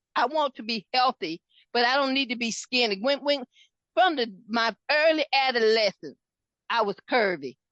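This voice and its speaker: A loud, high-pitched woman's voice at a moderate pace. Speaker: podcast host. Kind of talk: casual chat. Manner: animated.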